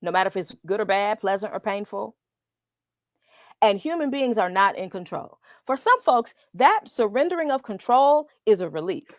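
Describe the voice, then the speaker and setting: A woman in an unremarkable speaking voice, fairly high-pitched and lively in intonation, at a moderate pace, with a dry, close sound with no echo and a very clean recording against a silent background. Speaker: professor. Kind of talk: lecture.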